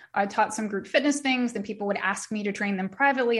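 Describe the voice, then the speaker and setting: A woman talks fairly quickly in an ordinary speaking voice with ordinary pitch variation. The recording is very clean, with a silent background. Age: 40s. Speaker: Pilates instructor and wellness studio founder. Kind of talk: casual interview chat.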